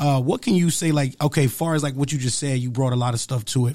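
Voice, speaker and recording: A man's dark, mellow, somewhat breathy voice at medium pitch, with ordinary pitch variation and a very fast pace. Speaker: podcast host. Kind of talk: casual podcast interview. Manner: energetic, hyped.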